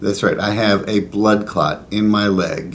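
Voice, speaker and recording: Audible room echo follows a man speaking in a fairly low voice. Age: 60s. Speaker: pilgrim vlogger. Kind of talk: casual talk to camera. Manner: conversational with fillers.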